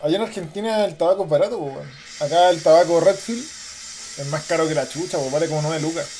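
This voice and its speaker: Speaking fairly quickly in a Chilean accent, a man uses a high pitch with ordinary pitch variation. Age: 30s. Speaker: podcaster. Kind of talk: casual monologue. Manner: very informal, slangy.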